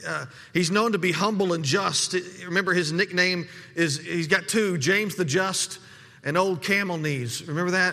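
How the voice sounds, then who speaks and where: Bright and sharp in tone, a man speaks at a moderate pace with a high pitch for a man, ordinary pitch variation and audible room echo. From desert region. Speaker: pastor. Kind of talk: sermon. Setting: church. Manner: halting, frequent word repetitions.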